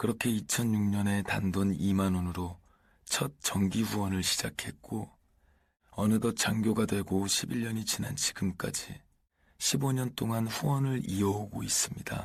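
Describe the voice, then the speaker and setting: A man speaks fairly slowly, with ordinary pitch variation. His voice sits fairly low. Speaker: actor. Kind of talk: audiobook reading.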